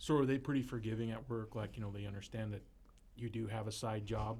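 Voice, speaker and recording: A man speaks at a very fast pace in a somewhat breathy voice. His intonation is monotone and flat. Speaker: podcast co-host. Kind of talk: casual chat.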